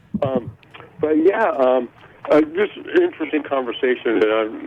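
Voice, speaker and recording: Over noticeable background noise, a man's voice rises and falls with lively intonation. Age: 60s. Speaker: caller, contractor. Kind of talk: call-in conversation. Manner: halting.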